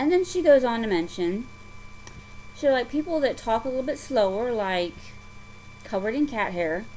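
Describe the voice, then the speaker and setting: A woman with a Southern US accent speaks in a high pitch at a moderate pace, with very wide pitch swings and long, frequent pauses. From US South. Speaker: craft vlogger. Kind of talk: casual chat. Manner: halting.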